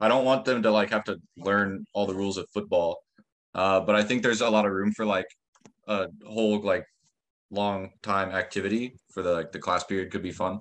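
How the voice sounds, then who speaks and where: A man speaks with an American accent at a fairly quick pace. His intonation is fairly even. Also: fairly low pitch for a man. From US Midwest, Ohio. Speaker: English teaching assistant. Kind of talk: workshop discussion.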